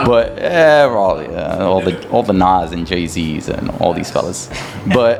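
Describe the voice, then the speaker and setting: A man with an American accent and a very deep, low pitch, lively intonation at a fairly slow pace, amid audible room echo and noticeable background noise. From Qatar, Sudanese family. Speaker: entrepreneur. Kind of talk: casual chat.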